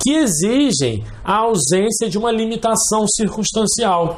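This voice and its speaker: A man speaks with lively intonation at a high pitch. Audible room echo and noticeable background noise are present. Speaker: law professor. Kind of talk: lecture.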